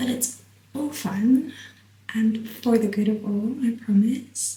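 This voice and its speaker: The speaker is soft-spoken. The pace is very slow. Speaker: YouTuber. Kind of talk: casual monologue to camera.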